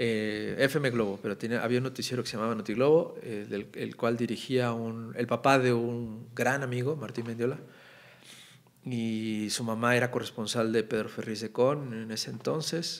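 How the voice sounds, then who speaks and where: With fairly even intonation, the man keeps to a moderate pace. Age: 40s. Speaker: political cartoonist; podcast guest. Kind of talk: casual chat. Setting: studio. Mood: relaxed, warm, smiling. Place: studio. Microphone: studio mic.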